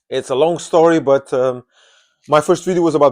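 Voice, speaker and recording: A man in a Portuguese accent at a fairly quick pace, with a dry, close sound with no echo and a quiet background. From Portugal. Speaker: movie vlogger. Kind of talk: casual monologue. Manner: halting.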